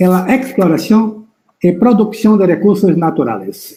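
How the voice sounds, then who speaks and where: Speaking fairly slowly, a man talks in a Brazilian accent. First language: Portuguese (speaking Spanish). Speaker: geology professor. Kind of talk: lecture. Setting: live stream.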